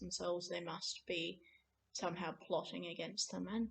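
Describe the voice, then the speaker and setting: Delivered at a moderate pace, this voice carries an Australian accent. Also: woman. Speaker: vlogger on Scottish Gaelic. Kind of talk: casual vlog talk. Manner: hesitant, many fillers.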